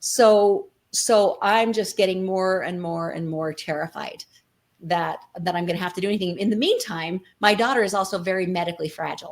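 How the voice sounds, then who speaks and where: A woman's normal speaking voice with an American accent, medium in pitch, moderate in pace, fairly even in intonation. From Colorado City, Arizona-Utah border. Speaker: nonprofit co-founder, former FLDS member. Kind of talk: interview answer.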